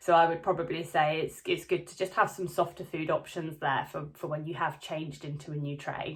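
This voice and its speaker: The somewhat breathy voice moves at a fairly quick pace with monotone, flat intonation and big swings in loudness. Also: woman, fairly low pitch for a woman. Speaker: vlogger. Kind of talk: casual vlog update. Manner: hesitant, many fillers.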